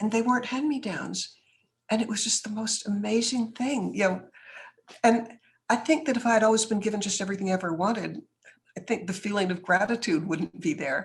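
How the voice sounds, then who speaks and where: A woman with an American accent speaks in a somewhat breathy voice with ordinary pitch variation. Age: 70s. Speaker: businesswoman and author. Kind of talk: interview.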